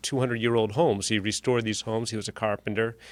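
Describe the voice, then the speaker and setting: Speaking very fast with an American accent, a man uses a medium pitch and fairly even intonation on a very clean recording with a silent background. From US Northeast, central New Hampshire. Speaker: toastmasters club member. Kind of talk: impromptu speech. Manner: halting, repeats words.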